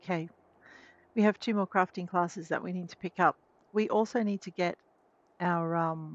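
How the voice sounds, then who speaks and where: A soft-spoken woman, fairly low in pitch, at a moderate pace with fairly even intonation and long, frequent pauses, in a dry, close sound with no echo against a quiet background. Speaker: game streamer. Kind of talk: let's play commentary. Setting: live stream.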